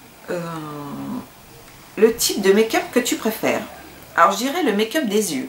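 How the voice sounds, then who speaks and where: Amid noticeable background noise, a woman of medium pitch talks at a moderate pace with very wide pitch swings. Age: 30s. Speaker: beauty vlogger. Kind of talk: casual vlog Q&A. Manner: hesitant, many fillers.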